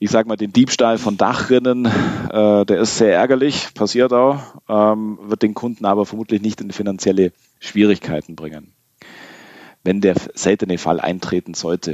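At a moderate pace, a man with a fairly low pitch and ordinary pitch variation speaks in an unremarkable speaking voice. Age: 30s. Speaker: insurance broker, managing director. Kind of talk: podcast interview.

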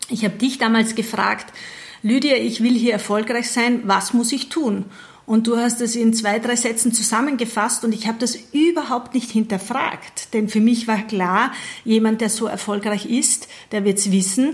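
Talking at a moderate pace, a woman keeps fairly even intonation in a fairly high, somewhat breathy voice. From Austria, Burgenland. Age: 40s. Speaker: network marketing team leader. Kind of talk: interview.

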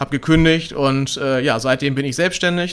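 Fairly quick, with fairly even intonation, a man talks in an unremarkable speaking voice pitched fairly high. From Hamburg, northern Germany. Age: 30s. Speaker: entrepreneur, company director. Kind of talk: interview. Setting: in person, same room.

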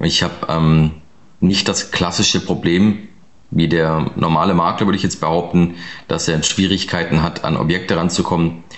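A man speaks in a very deep, low voice with monotone, flat intonation. Noticeable background noise is present. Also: moderate pace, very even loudness. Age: 30s. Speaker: real estate investor and advisor. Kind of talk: interview. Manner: casual, many filler sounds.

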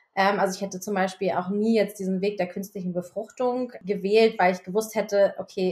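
At a fairly quick pace, a woman of medium pitch talks with a monotone, flat intonation. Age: 40s. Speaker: podcast co-host. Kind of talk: casual chat.

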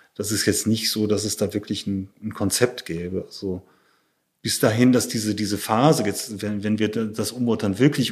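A normal speaking voice proceeds at a moderate pace with fairly even intonation. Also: man. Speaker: photographer. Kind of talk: interview conversation.

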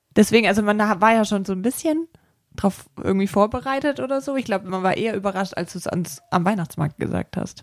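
A woman's very fast, lively-intoned speech at a medium pitch. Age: 30s. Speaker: visual merchandising designer. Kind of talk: casual chat.

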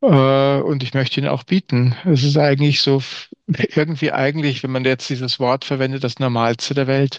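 Recorded dry and close with no echo, a man with a fairly high pitch speaks at a moderate pace in a monotone, flat intonation. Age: 50s. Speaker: communication trainer. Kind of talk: interview conversation.

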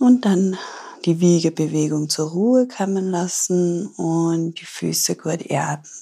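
In a very clean recording with a silent background, a woman speaks very slowly in a fairly low, dark, mellow voice with ordinary pitch variation. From Austria, Tyrol. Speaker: yoga teacher and ayurveda therapist. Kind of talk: guided yoga instruction; interview. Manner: calm, soothing.

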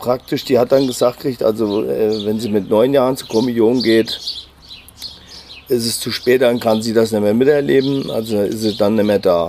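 A man talks fairly slowly with ordinary variation in pitch, noticeable noise audible behind him. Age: 50s. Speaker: cousin of a crime victim. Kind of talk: interview. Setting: outdoors on a terrace at his home. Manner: halting.

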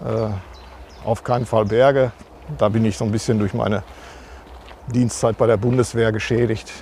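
A man's monotone, flat delivery broken by long, frequent pauses, over noticeable background noise. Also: medium pitch for a man, moderate pace. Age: 50s. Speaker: church administration head. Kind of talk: interview.

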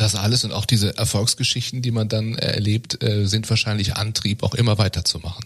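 A man with a fairly low pitch talks at a fairly quick pace in a flat monotone, his voice somewhat breathy, with hardly any pauses. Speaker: podcast host. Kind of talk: interview. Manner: filler-heavy.

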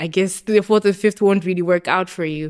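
A woman with a Zimbabwean accent speaks in a medium pitch with fairly even intonation, in a very clean recording with a silent background. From Zimbabwe, Harare. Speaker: university student, club vice president. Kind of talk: casual interview.

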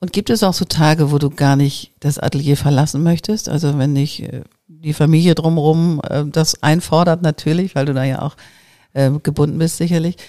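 A woman speaks at a moderate pace. Her voice is very deep and low, with a dark, mellow tone. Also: fairly even intonation. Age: 50s. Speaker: podcast host and creativity mentor. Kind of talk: casual interview.

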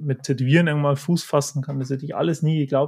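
This man's fairly high voice is somewhat breathy, with fairly even intonation. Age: 20s. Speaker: manga artist and tattoo artist. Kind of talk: interview.

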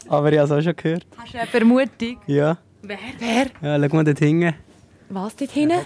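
Her fairly low-pitched voice, animated in tone, rises and falls in very wide pitch swings and big swings in loudness as this woman talks at a moderate pace with long, frequent pauses. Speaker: radio host and podcast co-host. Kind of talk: casual chat. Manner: animated, laughing often.

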